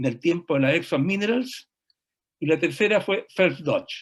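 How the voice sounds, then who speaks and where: In a very clean recording with a silent background, a man speaks with a Chilean accent. His pitch is high and his intonation lively. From Chile, Tomé (Biobío). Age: 80s+. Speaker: retired mining engineer. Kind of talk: panel discussion, personal account. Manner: halting, with frequent repetitions.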